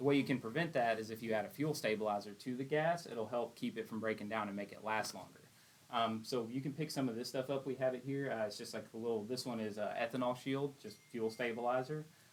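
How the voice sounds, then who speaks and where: A man speaks very fast with an East Texas accent. His medium pitch shows ordinary variation. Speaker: generator tech support technician. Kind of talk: tutorial. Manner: casual, conversational.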